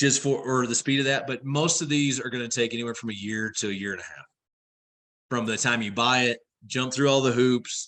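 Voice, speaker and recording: A man's medium-pitched voice with a Texan accent, bright and sharp in tone, at a fairly quick pace with fairly even intonation. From Texas, San Angelo area. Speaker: land investor and rancher. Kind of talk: podcast interview. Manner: casual, halting with self-corrections.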